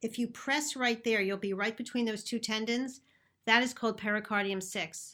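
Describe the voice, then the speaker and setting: In a Philadelphia accent, the speaker uses a bright, sharp tone, fairly even intonation and a moderate pace in a very clean recording with a silent background. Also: woman, fairly high pitch for a woman. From Philadelphia, US. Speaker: naturopathic doctor and acupuncturist. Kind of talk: interview conversation about health.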